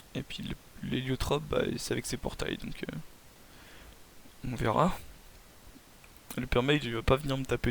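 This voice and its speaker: A man's moderately paced voice with vocal fry. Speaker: gaming commentator. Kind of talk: gameplay commentary. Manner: hesitant, many filler sounds.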